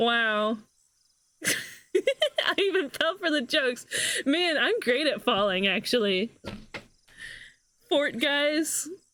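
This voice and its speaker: The pace is very slow. Long pauses come often. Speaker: video game streamer. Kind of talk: live gameplay commentary. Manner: animated.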